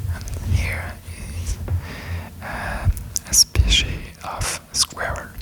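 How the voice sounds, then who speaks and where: A whisper over noticeable background noise, very slow and broken by long, frequent pauses. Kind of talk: ASMR reading and tracing. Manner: whispered; slow, hesitant.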